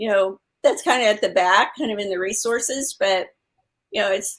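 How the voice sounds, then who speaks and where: Moderate pace from a woman speaker. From Texas. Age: 60s. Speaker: health coach and author. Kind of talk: interview. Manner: halting, many fillers.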